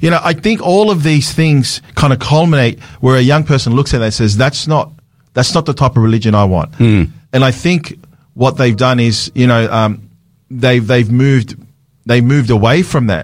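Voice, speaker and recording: A man with an Australian accent talks at a moderate pace. His intonation is lively and his loudness stays very even. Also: medium pitch for a man. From Sydney, Australia. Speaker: pastor. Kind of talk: radio talk show discussion. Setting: radio studio.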